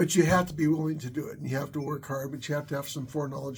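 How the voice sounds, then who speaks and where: Somewhat breathy, fairly high-pitched male voice. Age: 60s. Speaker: YouTuber, worship leader and tech worker. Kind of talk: casual vlog monologue. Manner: halting, many fillers and repetitions.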